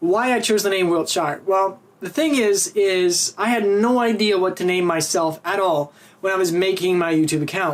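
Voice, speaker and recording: A man speaks with a Canadian accent, his pitch high and his pitch variation ordinary. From Canada. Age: 20s. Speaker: YouTuber. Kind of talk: casual vlog talk.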